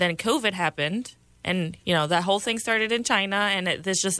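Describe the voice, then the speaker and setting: At a moderate pace, a woman speaks at a medium pitch with ordinary pitch variation in a very clean recording with a silent background. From Puerto Rico, with childhood years in New York City. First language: Spanish. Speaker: congressional candidate and Air Force veteran. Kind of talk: political radio interview. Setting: radio studio.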